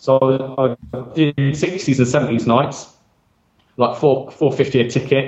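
At a very slow pace, a man speaks with medium pitch, fairly even intonation and a somewhat breathy voice. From South Coast of England. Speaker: DJ. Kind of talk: casual chat.

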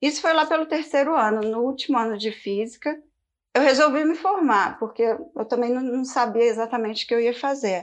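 Over a quiet background, a woman with a high pitch talks at a moderate pace with ordinary pitch variation. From Brazil, Belo Horizonte. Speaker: product designer. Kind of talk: interview.

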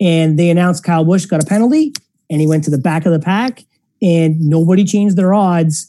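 A man's high-pitched voice with a dark, mellow tone, ordinary pitch variation and a fairly quick pace. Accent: American. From US, small rural town. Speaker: sports betting analyst. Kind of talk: casual chat.

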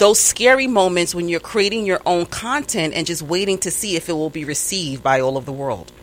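A woman's fairly low voice with a New York accent, very wide pitch swings and hardly any pauses, over noticeable background noise. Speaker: interviewer. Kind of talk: casual interview chat.

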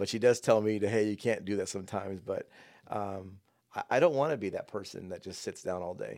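On a very clean recording with a silent background, a man in a normal speaking voice talks at a fairly quick pace, fairly low in pitch, with ordinary pitch variation. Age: 40s. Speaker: father of the host, health field worker. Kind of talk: casual chat. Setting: home podcast studio.

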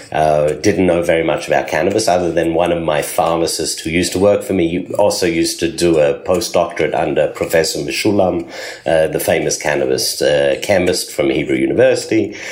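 The talking moves at a fairly quick pace with hardly any pauses. Noticeable background noise and audible room echo are present. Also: man. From Australia. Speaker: pharmacist and cannabis entrepreneur. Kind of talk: interview.

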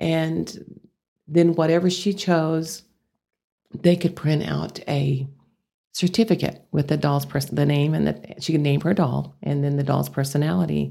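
Very deep and low in pitch, a woman with a Texas accent speaks fairly slowly in a dark, mellow tone with ordinary pitch variation. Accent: Texas twang. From Amarillo, Texas. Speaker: business founder. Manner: down-home, conversational.

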